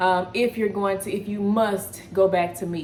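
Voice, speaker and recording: In a Texas accent, a woman at medium pitch speaks at a moderate pace in an animated tone. Noticeable background noise and audible room echo come through. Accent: Texas twang. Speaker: wellness coach. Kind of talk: casual video chat / cooking vlog.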